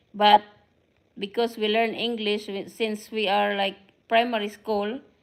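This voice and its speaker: A woman with a Filipino accent speaks fairly slowly. Her voice sits fairly high, with monotone, flat intonation. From Philippines. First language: Filipino (Tagalog). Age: 50s. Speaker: vlogger. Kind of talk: casual live stream chat. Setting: live stream to camera. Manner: halting.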